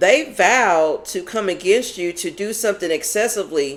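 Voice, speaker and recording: An American woman talks loudly in an animated tone at a medium pitch, with an American accent and very wide pitch swings. Noticeable background noise can be heard. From Kentucky. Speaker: tarot reader. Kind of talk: tarot reading. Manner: animated, loud; casual conversational.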